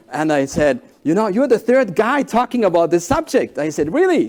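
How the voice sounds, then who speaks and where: A man talks very fast in a German accent. His pitch swings very widely. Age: 40s. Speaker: executive coach and keynote speaker. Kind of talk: keynote talk. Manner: halting, with fillers.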